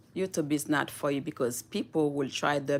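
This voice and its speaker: The speaker has a non-native accent, captured in a very clean recording with a silent background. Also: woman. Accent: noticeable foreign. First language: Haitian Creole / French. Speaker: YouTuber. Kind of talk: live stream chat. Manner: slow, deliberate; animated.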